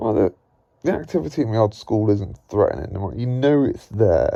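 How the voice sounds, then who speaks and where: Speaking in an English Midlands accent, a man with a dark, mellow tone sounds somewhat breathy, using lively intonation at a moderate pace. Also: medium pitch for a man. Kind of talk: casual talk to camera.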